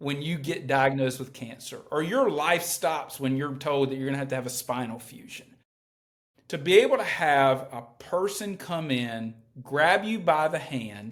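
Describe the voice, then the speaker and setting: A man's fairly high voice with a North Carolina accent, fairly slow in pace, with ordinary pitch variation. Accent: Southern US, North Carolina. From rural North Carolina. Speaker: healthcare company executive. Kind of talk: podcast interview.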